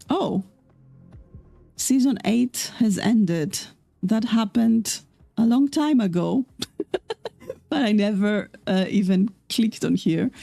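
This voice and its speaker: Very slow speech with long, frequent pauses, ordinary pitch variation and very even loudness, over music in the background. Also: woman, fairly high pitch for a woman. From Austria. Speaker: sim racing streamer. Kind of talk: live gameplay stream chat. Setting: home streaming setup with headphones.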